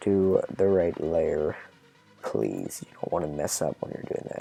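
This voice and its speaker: The pace of speaking is fairly slow. Music can be heard in the background. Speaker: gaming YouTuber making tutorials. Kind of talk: tutorial. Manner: casual, informal.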